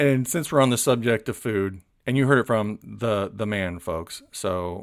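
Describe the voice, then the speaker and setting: A man with an American accent talks at a moderate pace and medium pitch, with ordinary pitch variation, in a plain, everyday voice. The recording is very clean, with a silent background. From Florida. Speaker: podcast host. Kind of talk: interview.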